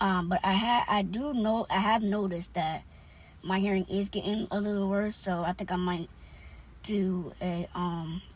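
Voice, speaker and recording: A woman with vocal fry speaks with ordinary pitch variation. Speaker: vlogger. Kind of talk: casual vlog talk. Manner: loud; hesitant, many fillers.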